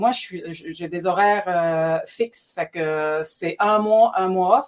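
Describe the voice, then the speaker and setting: A woman talks with ordinary pitch variation. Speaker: tourism business owner. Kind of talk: interview.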